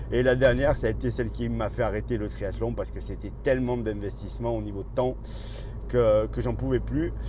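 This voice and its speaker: Fairly quick speech with audible room echo. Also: man. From southern France, Marseille. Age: 60s. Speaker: running coach and YouTuber. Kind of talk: casual vlog monologue. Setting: in a car while driving.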